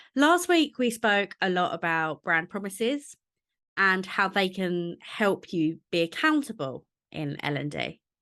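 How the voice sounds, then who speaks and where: A woman in a Cockney accent speaks at a fairly slow pace with a medium pitch and a bright, sharp tone. Her pitch swings very widely, over a quiet background. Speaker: podcast host. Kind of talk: podcast monologue.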